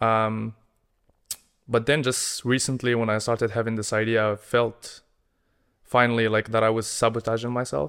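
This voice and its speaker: With an Arabic accent, a man speaks at a moderate pace with fairly even intonation and long, frequent pauses. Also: medium pitch for a man. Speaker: podcast co-host. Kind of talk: casual chat.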